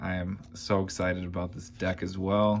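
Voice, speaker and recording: A man speaks at a very slow pace in a relaxed tone, his fairly low pitch held in a flat, monotone intonation. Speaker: card collecting youtuber. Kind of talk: card opening commentary. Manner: casual, relaxed.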